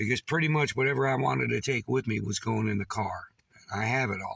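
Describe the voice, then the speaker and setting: A man in an American accent talks at a fairly quick pace. His medium-pitched voice carries vocal fry. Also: ordinary pitch variation. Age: 60s. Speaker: vlogger, military veteran. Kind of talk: casual vlog monologue.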